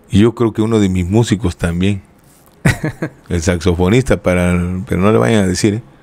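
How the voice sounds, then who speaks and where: A man talks at a moderate pace with long, frequent pauses. His very deep, low voice has a dark, mellow tone and ordinary pitch variation. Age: 50s. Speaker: cumbia band leader; guest. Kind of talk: interview storytelling. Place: studio. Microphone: studio mic.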